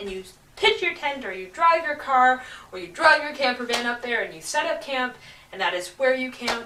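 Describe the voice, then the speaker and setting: A woman's raised, projected voice with very wide pitch swings. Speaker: traveller. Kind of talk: casual talk to camera.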